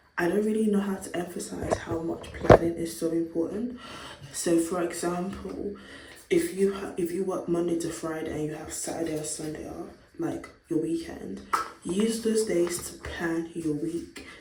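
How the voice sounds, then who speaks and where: Amid noticeable background noise, a woman with a fairly low pitch talks at a moderate pace, with fairly even intonation but big swings in loudness. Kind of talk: casual talk to camera.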